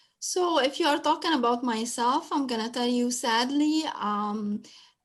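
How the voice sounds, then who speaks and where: On a very clean recording with a silent background, a woman speaks at a fairly slow pace in a high pitch with lively intonation. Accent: non-native. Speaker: special education teacher. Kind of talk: panel talk sharing experiences. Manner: halting, many fillers.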